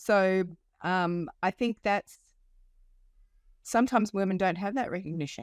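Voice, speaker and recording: In a very clean recording with a silent background, a woman with an Australian accent talks at a moderate pace with long, frequent pauses, her sound dry and close with no echo. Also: medium pitch for a woman, ordinary pitch variation. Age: 50s. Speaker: life coach. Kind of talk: podcast interview. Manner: hesitant with many fillers.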